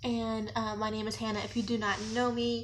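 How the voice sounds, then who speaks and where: There is audible room echo on this recording. A woman talks at a fairly slow pace. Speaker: YouTuber. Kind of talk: storytime vlog. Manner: animated.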